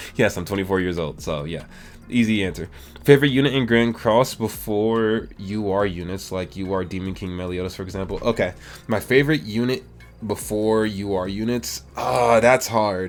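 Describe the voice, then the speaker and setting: A man with a fairly low pitch talks over music in the background. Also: ordinary pitch variation, moderate pace. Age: 20s. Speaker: gaming YouTuber. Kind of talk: casual Q&A chat.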